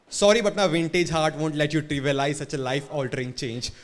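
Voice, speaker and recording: A man speaks at a fairly quick pace with ordinary pitch variation. Noticeable background noise runs underneath. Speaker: slam poet. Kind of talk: slam poetry performance. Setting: live cafe venue.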